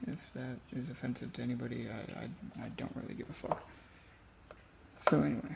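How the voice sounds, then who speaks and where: A man talks at a fairly quick pace but with long, frequent pauses, over noticeable background noise. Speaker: guitar tech. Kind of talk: tutorial. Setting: workshop, first-person camera glasses. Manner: casual, occasional stutter.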